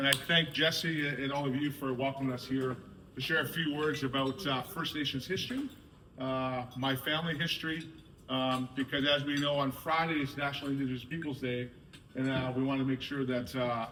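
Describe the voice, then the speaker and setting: A man talks at a fairly quick pace, fairly high in pitch and monotone, with flat intonation. Noticeable background noise runs underneath. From Canada, North Shore of Vancouver, Squamish reservation. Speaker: soccer board director. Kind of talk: speech to a sports team.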